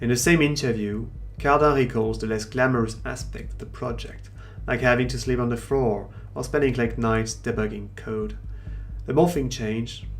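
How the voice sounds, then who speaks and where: With a French accent, a man speaks at a moderate pace. Music plays in the background. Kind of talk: documentary narration.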